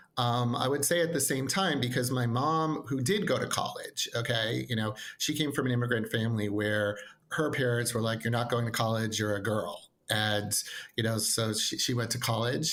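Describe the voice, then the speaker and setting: Recorded with audible room echo, a man with an American accent speaks at a medium pitch and moderate pace, his pitch varying in an ordinary way. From New York, Long Island (Nassau-Queens border). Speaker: educational consultant. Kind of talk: podcast interview.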